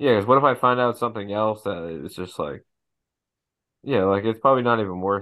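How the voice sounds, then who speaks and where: A man talks in an ordinary speaking voice at a fairly low pitch. His pace is fairly quick, with ordinary pitch variation. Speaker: podcast co-host. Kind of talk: casual chat.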